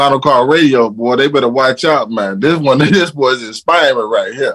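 An ordinary speaking voice with lively intonation. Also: man. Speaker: caller. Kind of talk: testimony. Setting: video call.

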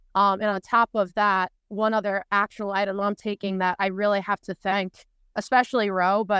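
With a New York accent, the speaker talks at a moderate pace in monotone, flat intonation, with a dry, close sound, no echo and a quiet background. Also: woman. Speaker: conference attendee. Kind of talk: casual chat. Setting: video call.

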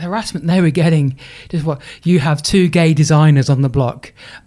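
A man with an English accent, fairly high in pitch, at a moderate pace with ordinary pitch variation. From England, Lincolnshire. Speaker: sports charity CEO and speaker. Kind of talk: interview.

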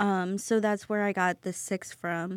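In an American accent, a woman talks at a fairly slow pace with monotone, flat intonation. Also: very clean recording, silent background. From US Midwest. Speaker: restaurant co-owner. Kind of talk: casual interview. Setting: podcast studio.

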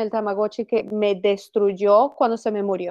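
A woman with a plain, everyday voice at a fairly slow pace, the sound dry and close with no echo. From Venezuela. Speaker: actress. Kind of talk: casual chat. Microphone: laptop mic.

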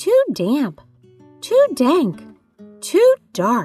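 A put-on character voice sounds squeaky and high. Faint music plays in the background. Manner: complaining.

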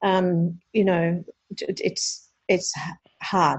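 A woman speaks at a medium pitch with a somewhat breathy voice. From Australia, Queensland (Sunshine Coast). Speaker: charity founder. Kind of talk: interview. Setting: phone call.

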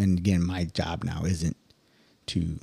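In a very deep, low voice, a man speaks with a dark, mellow tone, a somewhat breathy quality and fairly even intonation, in a dry, close sound with no echo. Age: 40s. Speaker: Marine senior enlisted. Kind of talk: casual chat.

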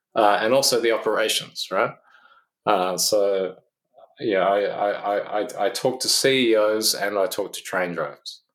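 With fairly even intonation, a man talks in a fairly low pitch. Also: fairly slow pace. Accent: Australian. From Australia, Canberra. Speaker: physicist and consultant. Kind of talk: interview.

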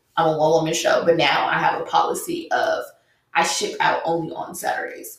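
A woman with an American accent at a fairly quick pace, with audible room echo. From Los Angeles, east side. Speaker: small business owner. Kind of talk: casual chat.

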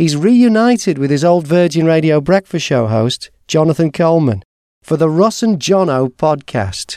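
Speaking at a moderate pace with a British accent, a man has a fairly high pitch, lively intonation, very even loudness and a dark, mellow tone, in a dry, close sound with no echo. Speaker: podcast host. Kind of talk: scripted intro and interview.

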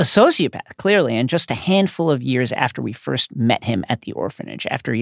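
Lively intonation marks this unforced reading voice.

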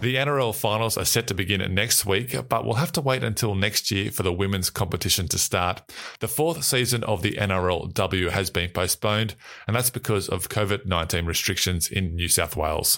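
With an Australian accent, the voice has a bright, sharp tone, lively intonation, very even loudness and a fairly quick pace on a very clean recording with a silent background. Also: man, fairly low pitch for a man. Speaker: sports news podcast host. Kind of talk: scripted news reading.

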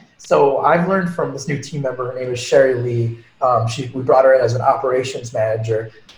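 An American-accented man at medium pitch and a fairly quick pace, with noticeable background noise. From New York, Long Island. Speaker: ed tech entrepreneur. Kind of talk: casual interview. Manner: animated.

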